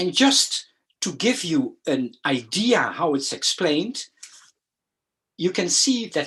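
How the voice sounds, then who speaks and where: Speaking with a Dutch accent, a man takes a very slow pace. His pitch swings very widely. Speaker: educational consultant. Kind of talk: lecture. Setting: video call. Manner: halting, many fillers and repeats.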